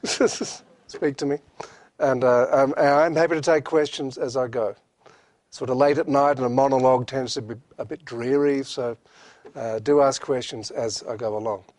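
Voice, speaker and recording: A man's medium-pitched voice with an Australian accent, fairly even intonation and a moderate pace. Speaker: professor. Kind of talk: lecture. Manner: hesitant, many fillers.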